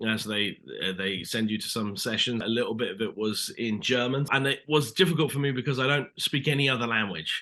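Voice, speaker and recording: With a British accent, a man talks at a medium pitch and fairly quick pace, with ordinary pitch variation and hardly any pauses. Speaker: actor. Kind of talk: interview. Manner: casual, hesitant with fillers.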